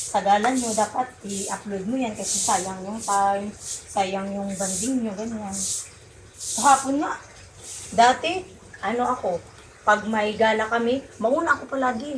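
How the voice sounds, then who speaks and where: Pausing long and often, a woman speaks at a fairly slow pace in a fairly high voice with ordinary pitch variation. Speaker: vlogger, domestic worker. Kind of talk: casual vlog monologue. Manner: animated, halting.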